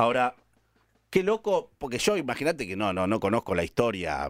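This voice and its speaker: A man with a Rioplatense accent, very fast and lively in intonation. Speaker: radio host. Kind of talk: call-in radio show. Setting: radio studio.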